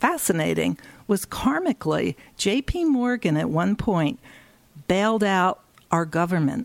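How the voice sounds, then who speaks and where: A woman with an American accent, lively intonation, very even loudness, a fairly slow pace with long, frequent pauses, and a dry, close sound with no echo. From US, Philadelphia. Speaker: feng shui consultant and Chinese astrologer. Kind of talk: interview.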